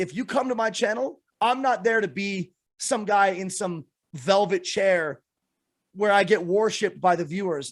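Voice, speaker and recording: A man speaks loudly in an animated tone, his high voice full of lively intonation, on a very clean recording with a silent background. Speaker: Twitch streamer. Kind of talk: casual chat.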